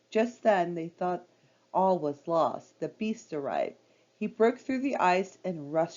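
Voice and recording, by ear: Reading aloud in a natural voice, with ordinary pitch variation.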